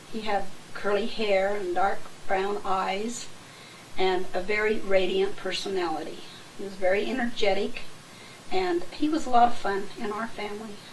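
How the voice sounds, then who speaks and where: A woman with an American accent and fairly high pitch speaks at a moderate pace with ordinary pitch variation, over noticeable background noise and audible room echo. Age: 60s. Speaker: family member recounting memories. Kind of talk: oral history recollection.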